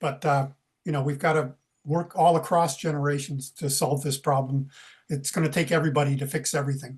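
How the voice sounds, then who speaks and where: Over a quiet background, a man talks fairly quickly in a fairly high, somewhat breathy voice with monotone, flat intonation. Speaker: retired environmental activist. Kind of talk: casual chat.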